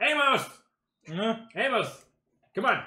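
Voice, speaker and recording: A put-on character voice at a high pitch. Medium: actual play.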